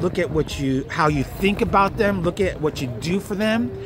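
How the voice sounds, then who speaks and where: A fairly high-pitched male voice is heard through noticeable background noise. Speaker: self-help video creator. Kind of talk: motivational talk to camera. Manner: earnest, casual.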